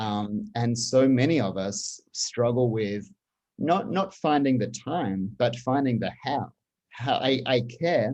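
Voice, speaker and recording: This man speaks with an Australian accent at a very slow pace. His medium pitch carries lively intonation. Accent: non-Baltimore accent (Australian). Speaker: communications executive. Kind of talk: interview conversation. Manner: halting, many repetitions.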